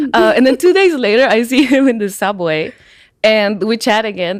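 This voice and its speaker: Lively intonation at a moderate pace in a Spanish accent, on a very clean recording with a silent background. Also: woman. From Peru, Lima. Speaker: musician. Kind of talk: casual chat.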